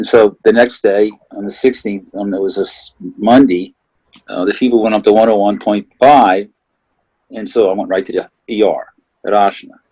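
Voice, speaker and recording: Long pauses come often. Between them, a man talks at a moderate pace. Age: 60s. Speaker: COVID-19 survivor. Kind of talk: interview testimony. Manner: halting.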